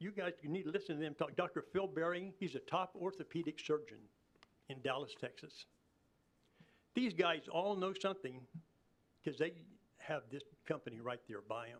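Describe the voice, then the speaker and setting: Speaking at a moderate pace in a Kansas accent, a man with a high voice uses lively intonation and takes long, frequent pauses. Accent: rural Midwestern US (Kansas). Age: 80s+. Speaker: farmer speaking at public hearing. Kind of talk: public comment at city commission meeting. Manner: animated.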